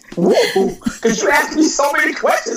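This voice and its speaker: A woman talks at a fairly quick pace in a high, animated voice. Noticeable background noise is present. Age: 60s. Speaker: leadership coach and author. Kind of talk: interview.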